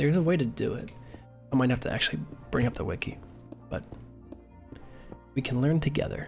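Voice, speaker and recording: With music in the background, a man speaks very fast at a medium pitch with lively intonation and long, frequent pauses. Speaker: ASMR streamer. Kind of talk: casual gaming stream commentary.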